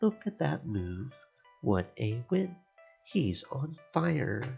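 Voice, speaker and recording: A man speaks very slowly in a put-on character voice at a medium pitch, his pitch swinging very widely, with faint music in the background. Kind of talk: announcer delivery. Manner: excited, enthusiastic.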